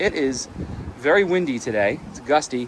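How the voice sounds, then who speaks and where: A man speaks over noticeable background noise. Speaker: real estate agent. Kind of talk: home tour walkthrough narration. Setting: walking through a house, partly on outdoor deck. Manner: loud; casual, repetitive filler words. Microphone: AirPods mic, echoey room.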